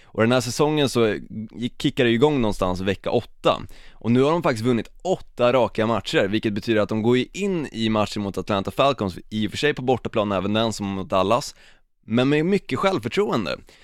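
A man with a normal speaking voice talks at a fairly quick pace, medium in pitch with lively intonation. The recording is very clean, with a silent background. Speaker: podcast co-host. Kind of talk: casual chat.

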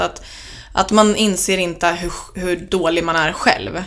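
A woman speaks at medium pitch in a plain, everyday voice. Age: 20s. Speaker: student and podcaster on eating disorders. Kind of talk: interview.

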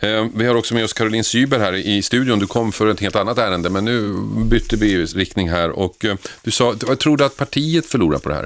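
In a plain, everyday voice, a man speaks at a fairly low pitch and fairly quick pace with ordinary pitch variation on a very clean recording with a silent background. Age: 50s. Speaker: radio host. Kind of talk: talk radio discussion. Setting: studio.

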